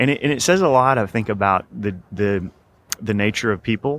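With an American accent, a man speaks in an ordinary speaking voice at a moderate pace, his fairly low pitch showing ordinary pitch variation. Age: 30s. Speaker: financial planning professor. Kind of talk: interview. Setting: conference.

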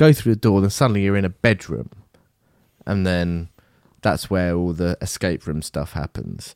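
A man with an English accent speaks at a very deep, low pitch and a moderate pace, using lively intonation. Long, frequent pauses break up his speech, and the sound is dry and close with no echo. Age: 30s. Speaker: podcast co-host. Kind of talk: casual chat.

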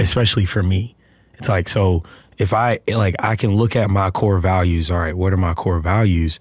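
A man with a Southern US accent, very deep and low in pitch, somewhat breathy, at a moderate pace with fairly even intonation. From Alabama, US South. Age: 30s. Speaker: actor. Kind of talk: casual interview chat.

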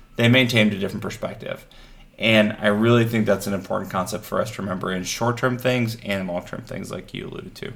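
A man speaks very fast in a fairly low, monotone voice with flat intonation. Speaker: husband, guest. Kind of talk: casual chat.

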